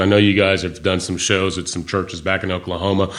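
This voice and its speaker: A man with a slight Kentucky accent, fairly low-pitched, at a fairly quick pace. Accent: slight Kentucky Southern. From Michigan. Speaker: record label interviewer. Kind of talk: interview. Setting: studio.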